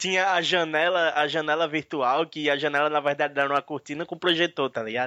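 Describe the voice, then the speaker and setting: A man with a bright, sharp tone and fairly high pitch, fairly even intonation, a fairly quick pace with hardly any pauses, over a quiet background in a dry, close sound with no echo. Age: 30s. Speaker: podcast co-host. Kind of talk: casual chat.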